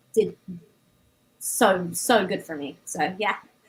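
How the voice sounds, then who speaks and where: A woman talks with lively intonation. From Canada and England. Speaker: DJ. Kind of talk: casual panel discussion.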